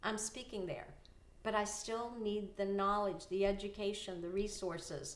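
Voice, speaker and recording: A woman's medium-pitched voice in a monotone, flat delivery at a moderate pace, with audible room echo. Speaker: anesthesia billing consultant and conference speaker. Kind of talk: casual video talk with screen share.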